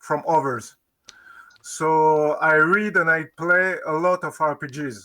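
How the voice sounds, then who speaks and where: In a French accent, a man speaks with a bright, sharp tone at fairly high pitch and ordinary pitch variation, on a very clean recording with a silent background. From France. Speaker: game designer. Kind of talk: interview. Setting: live stream. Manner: halting.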